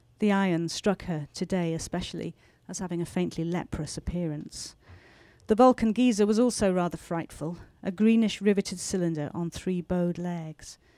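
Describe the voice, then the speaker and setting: A woman with a British accent speaks at a fairly low pitch in a dark, mellow, calm tone. The sound is dry with no echo, over a quiet background. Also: ordinary pitch variation, moderate pace. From England. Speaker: novelist. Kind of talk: author talk and reading aloud from her novel. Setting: bookstore stage with audience and microphone. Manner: measured, expressive storyteller reading with calm pacing. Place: shop. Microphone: handheld.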